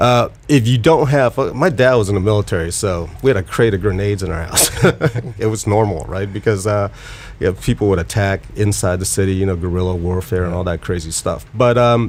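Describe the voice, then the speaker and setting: Someone talks at a fairly quick pace with ordinary pitch variation over noticeable background noise. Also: man, fairly low pitch for a man. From Vietnam. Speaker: podcast co-host. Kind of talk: casual podcast chat.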